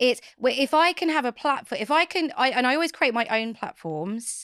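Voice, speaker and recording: A woman speaks in an Essex accent at a moderate pace, her high pitch moving in very wide swings. The recording is very clean, with a silent background. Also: dry, close sound with no echo. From Essex, England. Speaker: author and company founder. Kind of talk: podcast interview.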